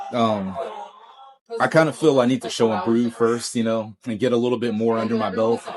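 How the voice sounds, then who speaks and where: Fairly quick, fairly evenly intoned speech from a man, with noticeable background noise. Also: medium pitch for a man. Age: 40s. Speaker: guitarist. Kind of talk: casual interview.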